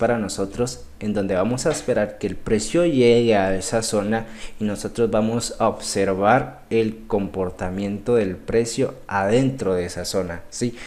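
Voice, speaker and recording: Delivered fairly slowly, the voice has a dark, mellow tone and ordinary pitch variation. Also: man. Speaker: trading instructor. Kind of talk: live online class. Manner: halting, many repetitions.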